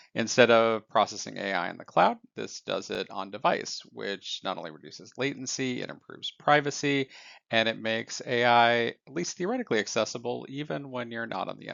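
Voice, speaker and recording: This man has a normal speaking voice at medium pitch, with ordinary pitch variation and big swings in loudness. He talks at a fairly quick pace with hardly any pauses. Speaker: AI news commentator. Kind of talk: scripted news recap.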